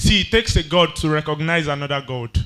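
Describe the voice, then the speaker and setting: Speaking in a Yoruba accent, a man with a fairly high, bright and sharp voice talks at a moderate pace with ordinary pitch variation on a very clean recording with a silent background. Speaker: spoken word poet. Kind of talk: poetry performance.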